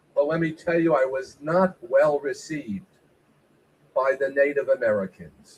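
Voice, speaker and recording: This man has a high voice and talks at a fairly slow pace. His pauses are long and frequent. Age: old. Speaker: stand-up comedian. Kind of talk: stand-up. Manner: animated.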